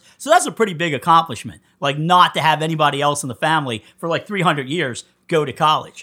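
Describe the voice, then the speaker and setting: A man with a Philadelphia accent speaks at a very fast pace with hardly any pauses, his tone animated, bright and sharp, his pitch fairly high. The recording is very clean, with a silent background. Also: ordinary pitch variation. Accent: Philadelphia-area American. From US Northeast, Coatesville, Pennsylvania. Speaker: punk musician. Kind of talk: casual interview chat.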